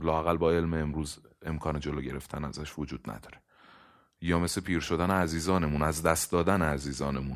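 A man with a very deep, low pitch and vocal fry speaks at a fairly quick pace with fairly even intonation. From Iran. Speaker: podcast host. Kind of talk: casual chat.

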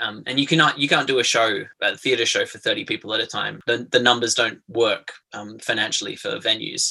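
A man speaks at a fairly quick pace with an Australian accent. His loudness swings widely. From southeastern Australia. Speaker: playwright and theatre-maker. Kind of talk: casual interview. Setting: remote call.

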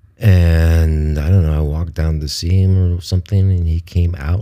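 Noticeable background noise accompanies a man speaking at a fairly slow pace. His very deep, low voice has ordinary pitch variation. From US Midwest (Ohio). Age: 70s. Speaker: podcaster. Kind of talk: autobiographical monologue. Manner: halting.

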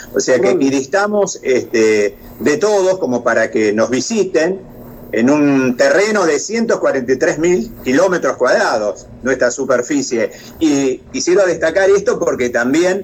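With a Rioplatense accent, a man talks at a very slow pace and a fairly high pitch, his intonation lively and his loudness very even, over noticeable background noise. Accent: Argentine Spanish (rioplatense, voseo). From Argentina, La Pampa province. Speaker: tourism chamber vice president. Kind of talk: interview.

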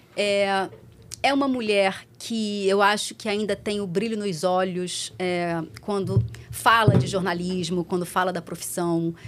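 There is noticeable background noise as a woman speaks at a fairly slow pace. Her pitch is medium, with ordinary pitch variation. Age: 40s. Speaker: TV reporter. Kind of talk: casual chat.

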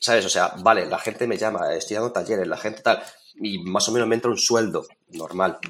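At a fairly quick pace, a man speaks in a normal speaking voice, fairly low in pitch with fairly even intonation. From Spain, Toledo province. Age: 40s. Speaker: landscape photographer and photography teacher. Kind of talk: casual interview.

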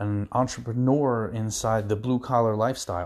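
With a New Jersey accent, a man talks at a moderate pace in a fairly low pitch and fairly even intonation. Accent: New Jersey American. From New Jersey, US. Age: 40s. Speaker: podcast host, contractor. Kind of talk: casual monologue.

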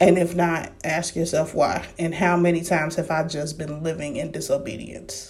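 A woman's fairly low voice with an American accent, at a moderate pace, with audible room echo. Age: 30s. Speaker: faith podcaster. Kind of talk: casual devotional talk.

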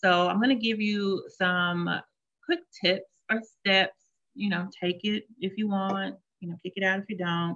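This woman's voice has a medium pitch. She keeps her intonation fairly even. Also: fairly slow pace. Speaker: life coach and mindfulness practitioner. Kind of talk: interview then guided mindfulness practice.

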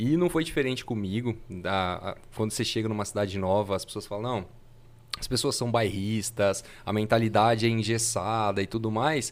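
Using an ordinary speaking voice, a man talks at a moderate pace with a fairly low pitch. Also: ordinary pitch variation. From Fernandópolis, interior São Paulo, Brazil. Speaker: innovation consultant and futurist. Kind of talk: casual chat.

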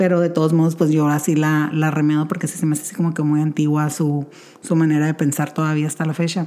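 A woman has a dark, mellow tone. She speaks at a fairly quick pace. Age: 30s. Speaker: podcast host. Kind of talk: casual monologue.

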